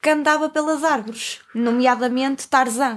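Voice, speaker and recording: A woman's high-pitched voice at a moderate pace. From Porto, northern Portugal. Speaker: podcast co-host. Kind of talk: casual chat.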